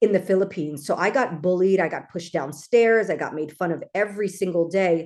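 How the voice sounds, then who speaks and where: With a Californian accent, a woman of medium pitch talks at a fairly quick pace with hardly any pauses and ordinary pitch variation against a quiet background. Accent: Californian American. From Los Angeles, US. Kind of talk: casual interview.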